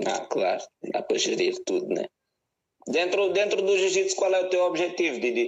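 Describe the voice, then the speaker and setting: This man talks at a moderate pace, keeping his loudness very even throughout. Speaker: podcast host. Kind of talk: casual interview.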